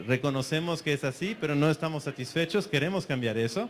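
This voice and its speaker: A man with a fairly high pitch talks fairly quickly, varying his pitch in an ordinary way. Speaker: conference speaker. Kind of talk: conference talk. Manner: fast.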